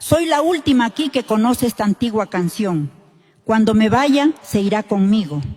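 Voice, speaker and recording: Music can be heard behind the speaker. The delivery holds a moderate pace while the pitch swings very widely. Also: woman. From Andean highlands. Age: 80s. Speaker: elderly folk singer, contestant. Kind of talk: interview on stage.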